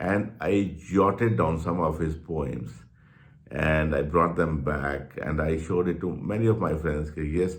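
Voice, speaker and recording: Very deep, low male voice with vocal fry and a Punjabi accent, fairly slow, with ordinary pitch variation and audible room echo. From Punjab, India. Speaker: journalist and channel host. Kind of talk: personal reminiscence monologue. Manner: halting, with repetitions.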